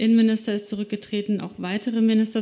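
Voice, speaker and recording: A woman is speaking. Her tone is dark and mellow. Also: very clean recording, silent background. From Slovakia. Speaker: journalist. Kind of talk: live talk on stage. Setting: stage with audience.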